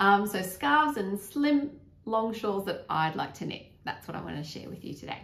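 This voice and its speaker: At a moderate pace and a medium pitch, a woman makes very wide pitch swings and big swings in loudness. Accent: Australian. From Australia. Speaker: knitting vlogger. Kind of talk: casual chat. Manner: hesitant, with fillers.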